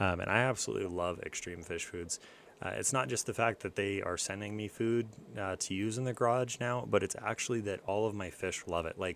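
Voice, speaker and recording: A man speaks quietly at a fairly low pitch and a fairly quick pace. His pitch variation is ordinary. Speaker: fish-keeping youtuber. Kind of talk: live stream chat. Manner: quiet, low talker.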